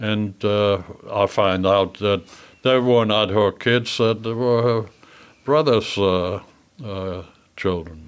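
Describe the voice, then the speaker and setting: A man speaks very slowly in a German accent, at a fairly low pitch with ordinary pitch variation. Long, frequent pauses break up his words on a very clean recording with a silent background. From Germany. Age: 80s+. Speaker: memoir author. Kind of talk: interview. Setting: studio. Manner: halting.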